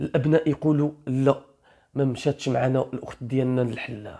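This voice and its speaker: Someone with an Algerian accent talks at a moderate pace. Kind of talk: true crime story narration. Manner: casual storytelling.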